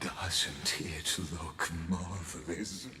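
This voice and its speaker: A man puts on a character voice at a very slow pace. Clear echo and clear background noise fill the recording. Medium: video game. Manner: measured, lofty, poetic.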